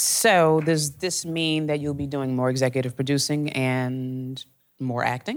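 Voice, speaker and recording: A woman with an American accent, her pitch very deep and low, her intonation fairly even, her pace fairly slow. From Chicago. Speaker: music journalist interviewer. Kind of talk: onstage interview. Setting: stage with audience.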